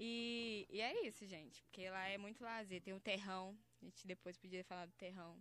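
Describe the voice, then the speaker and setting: This is an unremarkable speaking voice with fairly even intonation, moving at a moderate pace. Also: woman, medium pitch for a woman. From Belo Horizonte, Brazil. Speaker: funk MC. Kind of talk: casual interview chat. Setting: studio.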